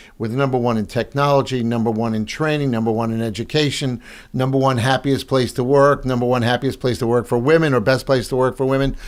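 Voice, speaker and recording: Speaking at a very fast pace, a man uses a medium pitch with a Long Island accent. His intonation stays fairly even. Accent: Long Island New York. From Long Island, New York (South Shore). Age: 70s. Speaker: real estate broker and speaker. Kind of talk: podcast interview.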